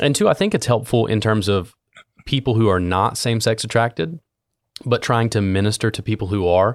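A man with a normal speaking voice talks at a fairly quick pace, in a medium pitch with ordinary pitch variation. The sound is dry and close with no echo, in a very clean recording with a silent background. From US Midwest, southern Ohio (Appalachia). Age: 30s. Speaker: youth pastor, podcast host. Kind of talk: interview conversation.

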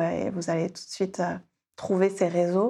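A woman talks with fairly even intonation in a plain, everyday voice. The background is quiet. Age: 40s. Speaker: life coach. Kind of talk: casual interview.

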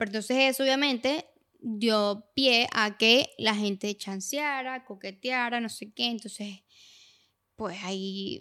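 The recording is very clean, with a silent background. A woman with a bright, sharp, fairly high voice talks very slowly, her pitch varying in an ordinary way. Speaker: podcast co-host. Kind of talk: casual chat.

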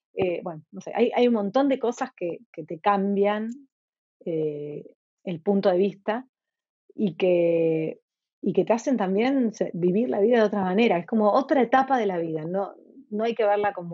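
An ordinary speaking voice from a woman, medium in pitch, at a fairly slow pace with lively intonation. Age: 50s. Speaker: entrepreneur and author. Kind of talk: interview conversation.

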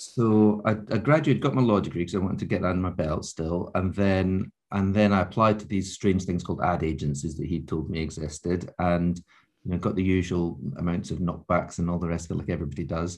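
A man with a Scottish accent talks at a fairly quick pace in a very deep, low pitch. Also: ordinary pitch variation, quiet background. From Scotland, Scottish Borders. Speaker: advertising agency founder. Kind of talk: interview.

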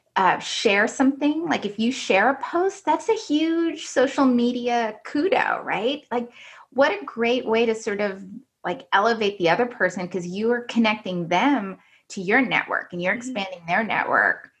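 A woman with a fairly high voice, lively intonation and a moderate pace, a normal speaking voice. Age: 40s. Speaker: business development manager at an engineering firm. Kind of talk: interview conversation.

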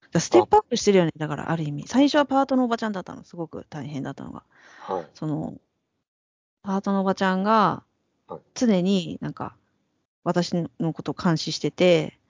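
A woman with a fairly low pitch talks at a fairly quick pace, broken by long, frequent pauses, with very wide pitch swings and big swings in loudness. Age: 40s. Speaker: podcast co-host, creator. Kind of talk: casual chat.

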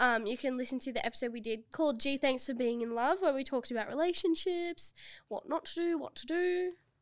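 A woman with an Australian accent speaks very fast, with a high pitch and lively intonation, in a very clean recording with a silent background. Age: 20s. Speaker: podcast co-host. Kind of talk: casual chat. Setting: studio.

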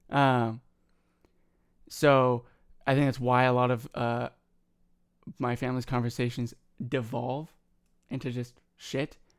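This soft-spoken man talks at a fairly slow pace and a medium pitch, leaving long, frequent pauses. His intonation is monotone and flat. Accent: American. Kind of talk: casual banter. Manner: quiet, soft-spoken.

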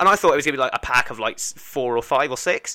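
Speaking very fast, a man with an English accent has a bright, sharp tone. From England. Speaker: podcast host. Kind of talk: casual chat.

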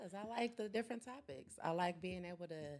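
Her speech, a plain, everyday voice, moves at a moderate pace with ordinary pitch variation. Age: young. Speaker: podcast guest. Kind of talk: casual chat. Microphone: too far from the mic.

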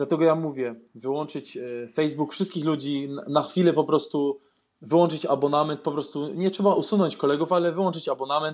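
A man talks in a plain, everyday voice. His pitch is fairly high and his intonation fairly even. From Austria, Vienna. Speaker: YouTuber. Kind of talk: casual chat.

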